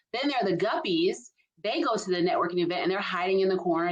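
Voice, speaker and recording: In a Southern US accent, a woman talks at a very fast pace. Her pitch is fairly low and her intonation fairly even. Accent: Southern US (Georgia). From US South, Albany, Georgia. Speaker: leadership strategist. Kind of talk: casual chat. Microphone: poor quality internet backup recording.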